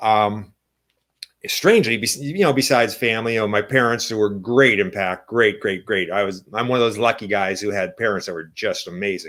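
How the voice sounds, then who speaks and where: Fairly low in pitch, a man talks at a fairly quick pace with fairly even intonation. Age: 60s. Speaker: entrepreneur. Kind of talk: interview. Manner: halting.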